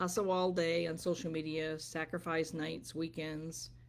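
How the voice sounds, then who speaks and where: On a very clean recording with a silent background, a woman talks at a fairly low pitch. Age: 60s. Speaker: business coach and wellness vlogger. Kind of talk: motivational livestream talk. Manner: conversational, with filler ums.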